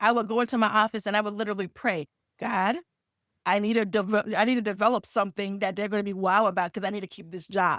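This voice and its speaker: A woman at medium pitch in a Caribbean accent, very fast pace, fairly even intonation, and a very clean recording with a silent background. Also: dry, close sound with no echo. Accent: Caribbean island. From Caribbean islands. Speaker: nonprofit funding consultant and business CEO. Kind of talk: podcast interview, personal story.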